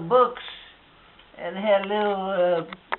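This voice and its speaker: Amid noticeable background noise, a woman speaks at a very slow pace with fairly even intonation. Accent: American. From Wisconsin, USA. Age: 80s+. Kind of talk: interview answer.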